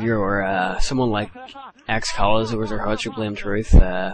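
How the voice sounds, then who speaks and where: A man with an Irish accent speaks at a very slow pace and a fairly low pitch, his intonation fairly even. Noticeable background noise runs underneath. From Ireland. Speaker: gaming commentator. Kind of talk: gameplay commentary tutorial. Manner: hesitant, many fillers.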